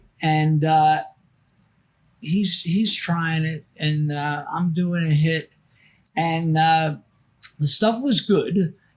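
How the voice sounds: A man speaks at a slow pace with a fairly high pitch, leaving long, frequent pauses.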